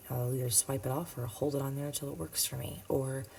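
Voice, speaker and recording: This woman is soft-spoken. Her pitch is very deep and low. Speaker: nail technician. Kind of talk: tutorial. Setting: home at midnight.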